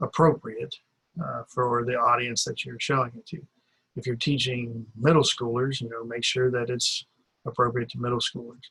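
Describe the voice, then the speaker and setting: Big swings in loudness mark a man's speech at a medium pitch, his pace moderate and his intonation fairly even. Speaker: teacher doing a course assignment. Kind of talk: video blog monologue. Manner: many pauses and fillers.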